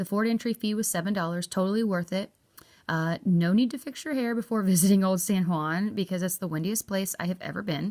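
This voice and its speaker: Medium-pitched woman with an American accent, a fairly quick pace and ordinary pitch variation. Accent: redneck. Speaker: travel vlogger. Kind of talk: travel review vlog.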